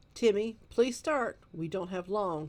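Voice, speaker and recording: A woman uses a put-on character voice at medium pitch. Her intonation is lively and her pace fairly slow. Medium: read story. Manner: firm, schoolmarmish.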